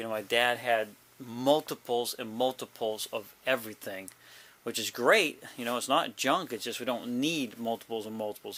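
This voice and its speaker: A man mumbles at a moderate pace and medium pitch, his tone bright and sharp. The recording is very clean, the background silent. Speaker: vlogger caring for a parent. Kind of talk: casual vlog. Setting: basement, handheld camera. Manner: mumbling; rambling, halting with fillers.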